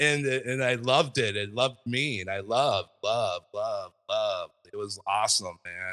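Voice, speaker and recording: With an American accent, a man speaks at a fairly slow pace. He leaves hardly any pauses. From Southern California. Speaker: podcast host. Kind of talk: interview storytelling. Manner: halting.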